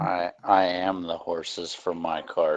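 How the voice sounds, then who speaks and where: A man puts on a character voice with a very deep, low pitch, speaking fairly slowly. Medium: actual play. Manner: casual, easygoing.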